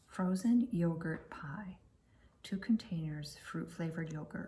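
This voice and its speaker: A soft-spoken woman talks at a fairly slow pace with a fairly low pitch. Her tone is dark and mellow, and somewhat breathy. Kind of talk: casual talk to camera. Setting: indoors at home, flipping through books.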